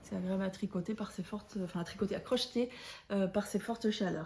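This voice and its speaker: At a moderate pace, a woman speaks in a somewhat breathy, dark, mellow tone with a medium pitch. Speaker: knitting podcaster. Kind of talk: casual chat. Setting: at home. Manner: hesitant, many fillers.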